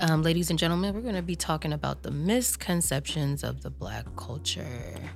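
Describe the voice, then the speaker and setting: A woman talks in an animated, playful tone at a fairly quick pace. She leaves hardly any pauses. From Southern California. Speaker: podcast host. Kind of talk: casual chat interview.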